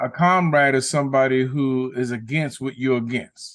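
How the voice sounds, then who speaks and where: In an ordinary speaking voice, a man with an American accent talks at a medium pitch with fairly even intonation over a quiet background. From New York, South Bronx. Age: 60s. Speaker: guest. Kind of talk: casual chat.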